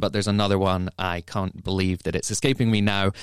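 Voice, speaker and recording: The sound is dry and close, with no echo and a silent background on a very clean recording. The speaker has an English accent. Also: man. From England. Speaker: drinks magazine editor and podcast host. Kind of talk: casual chat.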